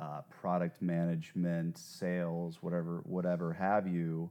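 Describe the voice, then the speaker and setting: A man speaks at a very slow pace with a very deep, low pitch. The background is quiet. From New Jersey, US. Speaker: entrepreneur. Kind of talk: interview, casual conversation. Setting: in person, San Francisco.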